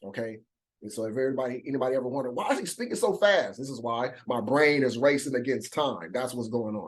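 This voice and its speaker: A man at medium pitch, ordinary pitch variation, very fast pace. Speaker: bible study teacher. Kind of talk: bible study lesson. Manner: halting, repeats words.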